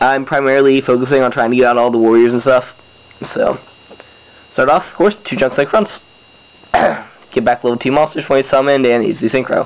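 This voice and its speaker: A man of medium pitch talks at a fairly quick pace yet with long, frequent pauses, using ordinary pitch variation over noticeable background noise. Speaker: YouTube card game deck reviewer. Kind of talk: casual tutorial. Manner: casual, filler words.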